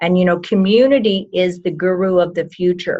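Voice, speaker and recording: In a plain, everyday voice, a woman talks at medium pitch with fairly even intonation. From Texas. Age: 60s. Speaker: medical doctor. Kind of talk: interview.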